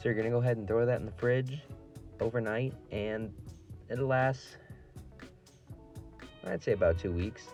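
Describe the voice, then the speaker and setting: A man at medium pitch and moderate pace, ordinary pitch variation, long and frequent pauses, music playing in the background. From Ohio. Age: young. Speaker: line cook. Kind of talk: casual cooking tutorial.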